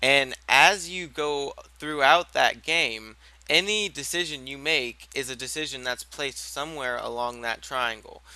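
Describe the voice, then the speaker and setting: Fairly slow and fairly high-pitched, a man speaks in a bright, sharp tone with ordinary pitch variation. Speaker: gaming channel host teaching a new player. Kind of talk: casual tutorial on a group voice call. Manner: halting, many fillers and restarts.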